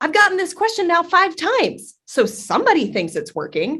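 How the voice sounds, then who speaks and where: Against a quiet background, a woman speaks loudly at a fairly quick pace in a bright, sharp tone. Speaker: content strategy lead, marketer. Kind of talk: podcast interview. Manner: fast.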